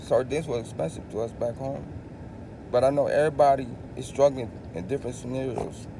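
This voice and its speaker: A man with a Filipino accent talks in an animated tone at a fairly quick pace. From Philippines. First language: Tagalog. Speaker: vlogger. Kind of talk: casual monologue.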